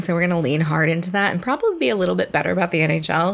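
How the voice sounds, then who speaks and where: A woman speaks with an American accent in a normal speaking voice. Her pitch is fairly low, with ordinary pitch variation. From New Jersey. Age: 30s. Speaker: podcast co-host. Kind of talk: casual chat.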